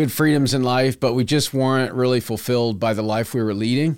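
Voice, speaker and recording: A man speaks with an American accent at a medium pitch, a plain, everyday voice. The recording is very clean, with a silent background. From Texas, Houston suburbs. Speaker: farmer. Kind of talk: casual chat.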